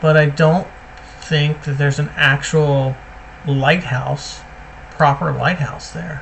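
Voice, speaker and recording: A man's fairly high voice, flat and monotone, at a very slow pace with long, frequent pauses and noticeable background noise. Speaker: gaming video creator. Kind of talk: gameplay commentary. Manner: casual, thinking aloud.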